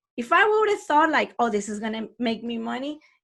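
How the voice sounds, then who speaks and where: A woman's high-pitched voice at a fairly quick pace in a very clean recording with a silent background. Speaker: online math teacher and podcaster. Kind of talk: podcast talk. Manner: casual, conversational.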